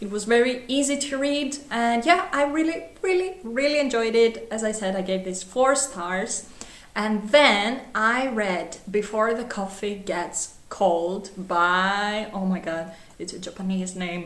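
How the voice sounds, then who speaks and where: A woman speaks fairly slowly at a fairly high pitch, her intonation lively. Audible room echo and noticeable background noise surround her. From Greece. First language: Greek. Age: 20s. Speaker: book vlogger. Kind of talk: casual book review vlog. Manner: animated.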